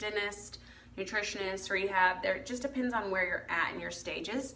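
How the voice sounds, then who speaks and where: The recording has audible room echo and noticeable background noise. A woman speaks at medium pitch with fairly even intonation. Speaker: dental hygienist. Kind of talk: casual livestream talk. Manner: casual, filler-heavy.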